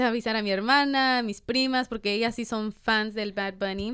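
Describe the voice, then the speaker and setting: With an ordinary speaking voice, a woman talks at a moderate pace and fairly high pitch, her intonation fairly even. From Los Angeles (Boyle Heights / East LA), US. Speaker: podcast co-host. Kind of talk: casual chat.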